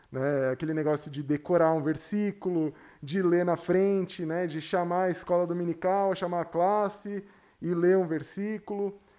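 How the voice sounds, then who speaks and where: A man talks at a moderate pace in a high pitch, with a dark, mellow tone. His intonation is fairly even over a quiet background. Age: 30s. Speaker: pastor. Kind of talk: casual chat.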